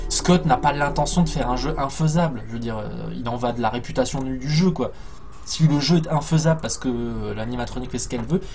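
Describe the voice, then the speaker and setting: Room echo is audible here. This man speaks at a moderate pace. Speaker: gaming streamer. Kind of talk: live gameplay commentary. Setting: live stream with headphones. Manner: loud; animated.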